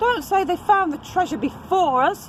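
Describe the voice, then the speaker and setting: A woman puts on a character voice at an extremely high pitch, speaking loudly at a moderate pace. Clear background noise sits behind her. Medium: read story. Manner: loud, rowdy.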